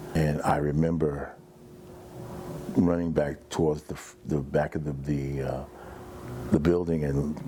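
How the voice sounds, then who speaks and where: A man talks at a moderate pace in a very deep, low pitch with monotone, flat intonation. Noticeable background noise sits behind him. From US Northeast, Jersey City, New Jersey. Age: 60s. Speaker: fire survivor. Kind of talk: testimony. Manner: halting.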